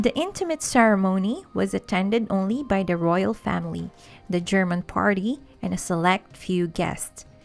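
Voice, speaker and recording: Music plays in the background. Over it, a woman speaks at a medium pitch. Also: ordinary pitch variation, moderate pace. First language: not English. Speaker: history channel narrator. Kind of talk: history documentary narration.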